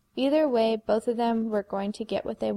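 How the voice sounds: Natural-sounding reading with typical pitch variation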